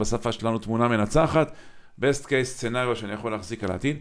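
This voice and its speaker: A man speaks very fast with fairly even intonation. His pitch is medium. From Israel, Kiryat Motzkin. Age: 50s. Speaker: podcast host. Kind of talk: interview conversation.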